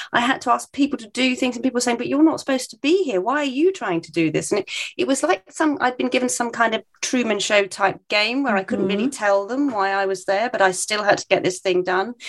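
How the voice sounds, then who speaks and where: Talking very fast with hardly any pauses, a woman keeps a fairly high pitch while her loudness swings a lot. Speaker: podcast co-host. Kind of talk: casual chat.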